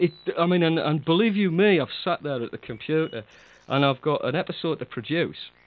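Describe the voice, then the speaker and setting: A man with a rather high pitch that moves in a normal way delivers his words rather quickly. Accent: British. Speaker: audio drama producer and podcast co-host. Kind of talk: casual chat. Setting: online chat call. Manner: laughs often, chatty.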